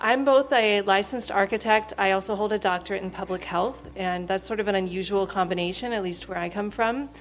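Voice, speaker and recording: With an American accent, a woman of medium pitch speaks at a fairly quick pace with hardly any pauses and fairly even intonation. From United States. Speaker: architect and public health researcher. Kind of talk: conference presentation. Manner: fast.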